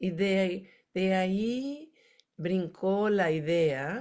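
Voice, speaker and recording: A dark, mellow voice with an American accent and ordinary pitch variation comes through with audible room echo. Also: woman. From United States. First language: English (speaking Spanish). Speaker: education academic. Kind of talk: conference presentation. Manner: halting.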